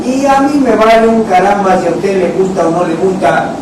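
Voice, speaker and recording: There is noticeable background noise and audible room echo. A man talks at a moderate pace in a high pitch. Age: 60s. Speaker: internet show host. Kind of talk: live talk show. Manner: animated.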